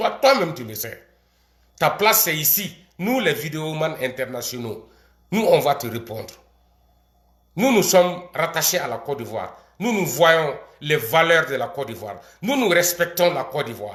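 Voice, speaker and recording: Pitched fairly high, a man speaks at a fairly slow pace with long, frequent pauses, very wide pitch swings and big swings in loudness. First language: not French (speaking French). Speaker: video commentator. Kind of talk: political rant. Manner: animated.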